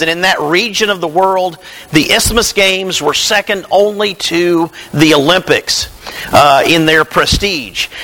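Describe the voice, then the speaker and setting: A high-pitched man with a Tennessee accent, ordinary pitch variation and a fairly slow pace, amid noticeable background noise. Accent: Southern US (Tennessee). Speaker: preacher. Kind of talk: sermon.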